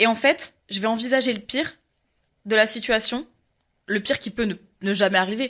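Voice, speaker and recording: A woman's fairly high voice, with ordinary pitch variation, comes through a very clean recording with a silent background. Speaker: podcast guest, performer who does castings. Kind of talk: casual chat. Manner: fast.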